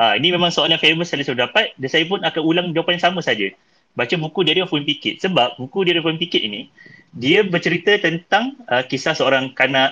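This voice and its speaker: Here a man speaks at a very fast pace. His fairly high voice has lively intonation. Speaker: podcast host. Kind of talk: casual chat.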